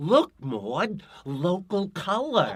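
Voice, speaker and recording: In a put-on character voice, a man talks with a New York accent as part of the act. His pitch is high and swings very widely. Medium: audio drama.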